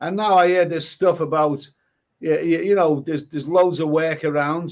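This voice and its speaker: With a Liverpool accent, a man talks in a high-pitched voice. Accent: Liverpool (Scouse). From northern England, Liverpool. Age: 60s. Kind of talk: casual chat.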